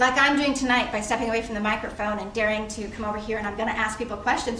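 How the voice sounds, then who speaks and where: A woman with an American accent speaks very fast at a fairly high pitch in a monotone, flat intonation. Audible room echo and noticeable background noise surround her voice. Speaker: nonprofit CEO, panel speaker. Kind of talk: speech to audience. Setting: stage with audience.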